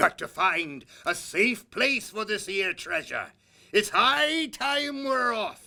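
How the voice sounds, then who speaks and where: A man bellows loudly in a put-on character voice at an extremely high pitch, speaking very slowly. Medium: read story. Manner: loud, bellowing.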